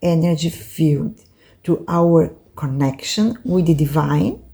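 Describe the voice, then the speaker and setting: A woman with a Brazilian Portuguese accent speaks at a very slow pace in a fairly low pitch. Her tone is dark and mellow, and her voice somewhat breathy. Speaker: oracle card reader and teacher. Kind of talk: lecture. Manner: halting, with many fillers.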